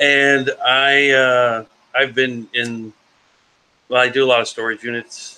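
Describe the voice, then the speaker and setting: Very slow, medium-pitched speech from a man, its pitch variation ordinary. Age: 40s. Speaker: reseller and storage unit picker. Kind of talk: casual live auction chat.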